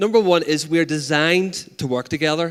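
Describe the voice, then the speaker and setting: In a Northern Irish accent, the speaker talks at a fairly quick pace with an animated tone. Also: man. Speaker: arts peacebuilding organiser. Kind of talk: conference talk. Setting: stage with audience.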